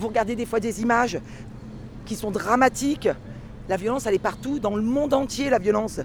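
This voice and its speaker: Noticeable noise runs through the background. A woman talks high in pitch, varying it in an ordinary way. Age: 50s. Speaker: yellow vest protester. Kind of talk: street interview, impassioned. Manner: animated.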